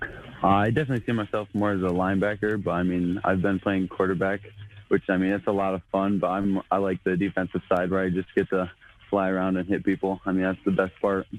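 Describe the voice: A man with an American accent talks at a fast pace. His low voice has little pitch movement.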